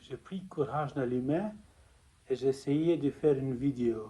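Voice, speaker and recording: Somewhat breathy and fairly high-pitched, a man with a non-native accent speaks at a fairly slow pace in a dark, mellow tone. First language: not French (speaking French). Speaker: spiritual testimony vlogger. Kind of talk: personal testimony. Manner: halting.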